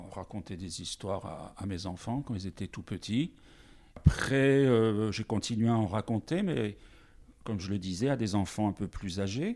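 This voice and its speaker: At a fairly slow pace, a man with a fairly low voice speaks with ordinary pitch variation. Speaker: teacher and storyteller. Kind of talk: interview. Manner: varied intonation.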